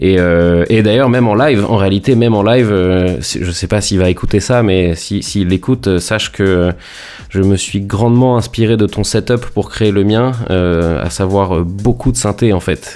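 A man talks at a fairly slow pace in a fairly low voice with ordinary pitch variation. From France, Rouen (Normandy). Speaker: electronic music producer. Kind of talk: interview. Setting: internet call from home. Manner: halting, many repetitions and fillers.

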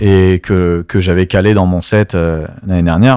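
The recording is very clean, and the background is silent. A man talks in a very deep, low pitch. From France, Strasbourg (Alsace). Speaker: DJ. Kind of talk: casual interview. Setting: in a venue in Paris.

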